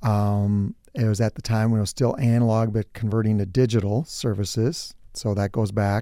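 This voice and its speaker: A man with an Upper Midwest accent, fairly low pitch and a dark, mellow tone, with fairly even intonation, very even loudness and hardly any pauses, on a very clean recording with a silent background. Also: moderate pace. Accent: Upper Midwest American. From southern Minnesota (New Prague). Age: 50s. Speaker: business owner. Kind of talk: interview. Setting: studio.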